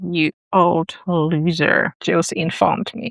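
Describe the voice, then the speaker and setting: With a non-native accent, a woman speaks in a dry, close sound with no echo. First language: not English. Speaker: writing YouTuber. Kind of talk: casual tutorial reading aloud own writing. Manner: halting, thinking aloud.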